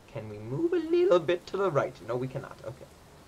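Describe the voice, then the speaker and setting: Fairly quick male speech against noticeable background noise. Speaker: gaming streamer. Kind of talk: live gameplay commentary. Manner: animated.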